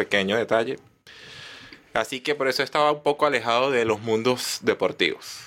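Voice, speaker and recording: This man has a Venezuelan accent and a bright, sharp tone at a medium pitch. He speaks at a moderate pace with ordinary pitch variation. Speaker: comedian. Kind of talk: casual chat.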